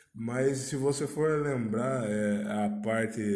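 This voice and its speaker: With fairly even intonation at a medium pitch, a man speaks through audible room echo and noticeable background noise. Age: 20s. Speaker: podcast host. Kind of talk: casual solo monologue. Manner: hesitant with frequent fillers.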